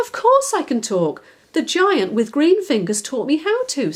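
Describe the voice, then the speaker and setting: In a put-on character voice, a woman speaks high-pitched and squeaky at a moderate pace. Her pitch swings very widely. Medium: read story.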